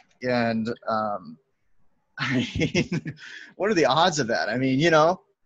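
A man is recorded with a dry sound, no echo, and a quiet background. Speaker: group member. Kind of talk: casual chat. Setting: video call. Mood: earnest, wondering. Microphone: video call.

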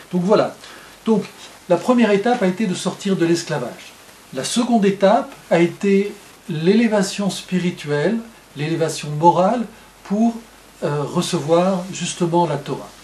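Here a man with high pitch and ordinary pitch variation speaks at a fairly slow pace, leaving long, frequent pauses. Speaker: religious teacher. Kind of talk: lecture. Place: home room. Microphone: webcam.

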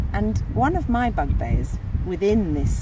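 A woman's voice with a dry sound, no echo and noticeable background noise. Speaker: head gardener. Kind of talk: interviewer questions. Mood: warm, enthusiastic. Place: garden.

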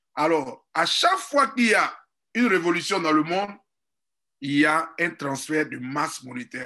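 With a bright, sharp tone, this man speaks at a high pitch and uses lively intonation. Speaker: network marketing leader. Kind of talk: sales pitch.

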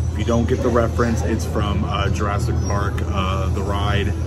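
Loud music plays in the background. The speech moves at a fairly slow pace. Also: man. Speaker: theme park vlogger. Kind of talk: casual vlog chat. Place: shop. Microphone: phone near.

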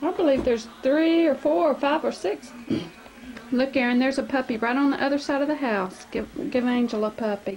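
A woman with a high pitch talks at a fairly quick pace, keeping a very even loudness and ordinary pitch variation, over light background noise. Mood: warm, playful. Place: home room. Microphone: old recording.

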